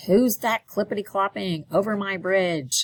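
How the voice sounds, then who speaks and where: A loud, bellowing female-sounding voice performs a put-on character voice. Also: medium pitch for a woman, moderate pace. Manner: roaring, loud.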